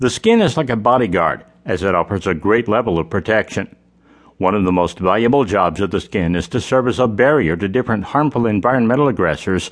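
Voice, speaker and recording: An ordinary speaking voice from a man, fairly low-pitched and fairly quick, with lively intonation and very even loudness. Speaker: audiobook narrator. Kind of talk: audiobook reading of a how-to self-help text. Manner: even, formal, measured; clear, informative, steady pace.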